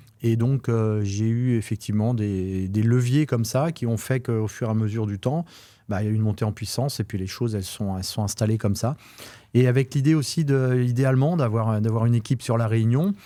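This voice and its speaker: At a fairly quick pace and with ordinary pitch variation, a dark, mellow voice comes through in a very clean recording with a silent background. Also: man, medium pitch for a man. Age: 50s. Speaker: real estate agent. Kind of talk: interview. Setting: studio. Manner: halting.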